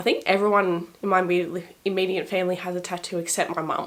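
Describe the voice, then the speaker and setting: A woman with an Australian accent talks at a fairly quick pace and a medium pitch, with noticeable background noise. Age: 20s. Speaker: lifestyle vlogger. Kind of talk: casual vlog talk to camera.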